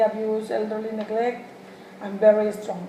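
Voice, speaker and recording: With a Spanish accent, a woman speaks at a moderate pace in a fairly high pitch over noticeable background noise. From Mexico. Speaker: human services student. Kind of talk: mock job interview. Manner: halting, many fillers.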